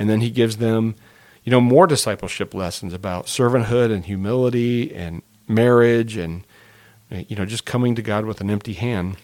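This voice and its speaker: Here a man of medium pitch speaks at a moderate pace. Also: ordinary pitch variation. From Indiana, US. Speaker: senior pastor. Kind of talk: podcast conversation, teaching overview. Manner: halting, many fillers.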